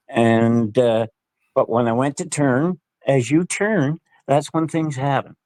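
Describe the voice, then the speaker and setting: A man with a Nova Scotian accent at a very slow pace, ordinary pitch variation, dry and close sound with no echo. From Nova Scotia, Canada. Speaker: guest sharing paranormal experiences. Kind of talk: casual interview, storytelling. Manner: halting, repetitive.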